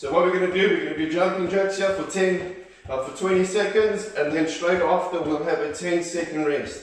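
In a room with strong echo and light background noise, a man with a high pitch speaks at a moderate pace with fairly even intonation. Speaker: fitness instructor. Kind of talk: workout instruction. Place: home room. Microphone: camera far.

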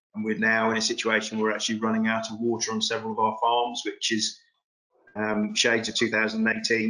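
Over a quiet background, a man speaks at a moderate pace with a bright, sharp tone and monotone, flat intonation. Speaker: farm host on a webinar panel. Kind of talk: interview answer. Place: home room. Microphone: video call.

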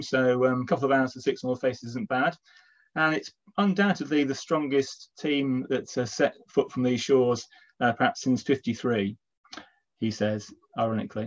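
The background stays quiet. This man's pitch varies in an ordinary way. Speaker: event host. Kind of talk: welcome introduction to an online talk. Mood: warm, lightly joking. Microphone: video call.

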